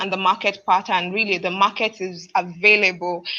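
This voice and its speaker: Fairly even intonation marks a woman's voice at a medium pitch. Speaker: livestock business panelist. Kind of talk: webinar panel presentation. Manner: fast.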